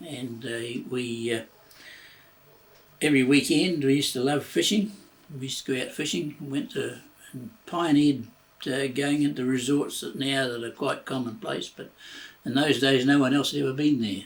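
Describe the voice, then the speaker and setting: A man with a New Zealand accent speaks at a medium pitch with ordinary pitch variation, leaving long, frequent pauses. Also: moderate pace. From New Zealand, Christchurch. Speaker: retired railway worker. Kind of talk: oral history interview. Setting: at home. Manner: halting, many fillers.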